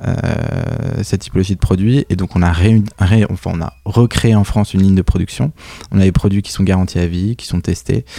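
A man speaks at a moderate pace in a fairly low voice, with ordinary pitch variation and a dry, close sound with no echo. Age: 30s. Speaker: entrepreneur, company founder. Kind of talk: interview. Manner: hesitant, many fillers and repetitions.

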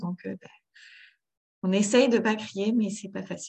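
This woman's somewhat breathy voice sits at a medium pitch, with fairly even intonation. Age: 30s. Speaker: mother of three in parenting coaching. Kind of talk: coaching conversation.

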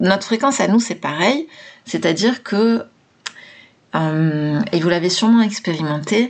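A woman in a normal speaking voice at a moderate pace, medium in pitch, with lively intonation. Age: 40s. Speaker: mindset coach and podcaster. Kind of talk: solo podcast talk.

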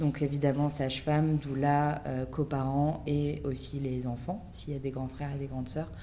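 A woman talks at a moderate pace with hardly any pauses, her very deep, low pitch held in a monotone, flat intonation. Audible room echo surrounds her voice. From Paris, France. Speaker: documentary director and podcaster. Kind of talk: podcast interview.

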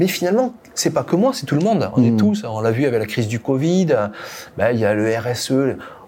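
A man at a medium pitch, quick-paced and lively in intonation, over noticeable background noise. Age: 50s. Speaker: company founder and CEO. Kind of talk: podcast interview. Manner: halting, with frequent repetitions.

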